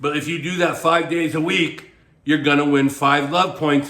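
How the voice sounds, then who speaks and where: Audible room echo around fairly even intonation. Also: man. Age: 60s. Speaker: dating coach and author. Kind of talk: advice monologue to camera. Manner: casual, conversational with filler words.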